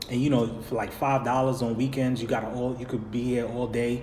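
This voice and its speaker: A man's animated tone at a moderate pace, with audible room echo. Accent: New York. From New York. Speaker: vlogger. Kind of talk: live stream Q&A. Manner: casual, animated.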